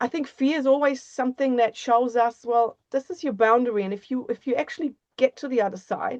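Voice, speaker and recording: Against a quiet background, a woman with a non-native accent speaks at a high pitch, the sound dry and close with no echo. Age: 50s. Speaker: author and embodiment coach. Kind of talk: interview conversation.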